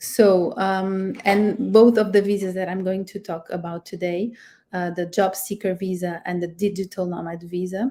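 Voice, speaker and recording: In a Portuguese accent, a woman speaks with monotone, flat intonation. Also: medium pitch for a woman, moderate pace. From Portugal. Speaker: immigration lawyer. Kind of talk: webinar presentation. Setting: live stream. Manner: halting, many fillers.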